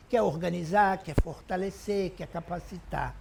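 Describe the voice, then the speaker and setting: A woman's voice with vocal fry. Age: 60s. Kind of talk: testimony.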